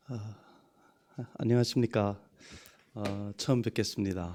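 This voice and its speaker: A man talks at a fairly low pitch with a Yanbian accent. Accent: Yanbian Korean dialect. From China, Yanbian (Hunchun), ethnic Korean. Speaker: pastor. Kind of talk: sermon. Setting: church. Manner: halting.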